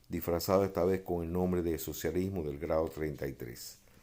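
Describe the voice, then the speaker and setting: Very deep and low, a man's voice with a dark, mellow tone carries a Cuban accent and ordinary pitch variation. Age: 70s. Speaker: freemason sharing memoirs. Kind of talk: personal testimony monologue. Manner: hesitant, many filler 'eh'.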